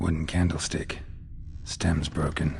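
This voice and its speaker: A put-on character voice from a man, very deep and low in pitch, at a fairly slow pace. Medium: video game. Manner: terse, dry.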